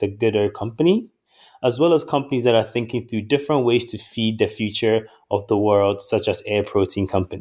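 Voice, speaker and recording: A man's voice at a medium pitch comes through on a very clean recording with a silent background. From Ghana. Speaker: venture capital investor. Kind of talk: interview.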